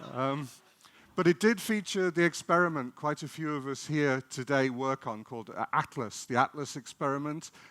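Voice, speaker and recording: A man speaks in an English accent with a bright, sharp tone and ordinary pitch variation. The pace is moderate, and the sound is dry and close with no echo. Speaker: particle physicist. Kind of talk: public lecture. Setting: festival stage with audience.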